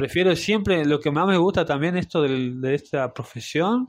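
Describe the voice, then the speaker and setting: A man with a plain, everyday voice, at a fairly slow pace. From Salta, northern Argentina. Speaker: barista and café owner. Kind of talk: interview.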